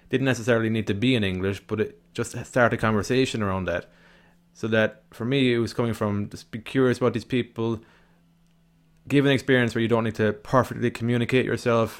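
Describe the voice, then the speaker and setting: With an Irish accent, a man talks at a fairly quick pace, medium pitch and fairly even intonation. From Ireland. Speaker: podcast host. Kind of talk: solo podcast monologue.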